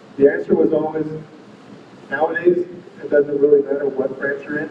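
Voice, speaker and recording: With an American accent, a man speaks at a fairly high pitch against noticeable background noise. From Southern California. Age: 40s. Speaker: navy officer, war veteran. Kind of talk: speech. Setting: banquet hall with audience. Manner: halting, with frequent fillers and repeats.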